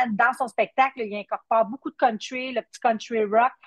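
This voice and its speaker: The sound is dry and close with no echo as a woman with a Quebec accent speaks at a moderate pace, her fairly high pitch showing ordinary variation. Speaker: country singer. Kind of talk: interview. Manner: halting.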